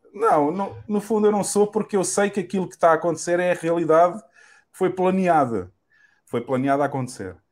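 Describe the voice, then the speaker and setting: This man talks at a fairly quick pace with a high pitch and ordinary pitch variation. The recording is very clean, with a silent background. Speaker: podcast host, bitcoin advocate. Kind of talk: casual interview chat.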